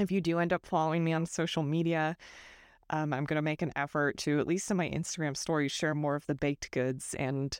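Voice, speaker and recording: With a West Coast accent, a woman speaks at a very deep, low pitch and fairly even intonation. The sound is dry and close with no echo, the background quiet. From northern California. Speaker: podcast host and fantasy author. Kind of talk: solo monologue.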